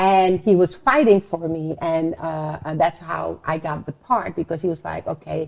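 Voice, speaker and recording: A woman's fairly low voice with a non-native accent, at a moderate pace with hardly any pauses. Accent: foreign accent, noticeable. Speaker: actress. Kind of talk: interview. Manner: animated.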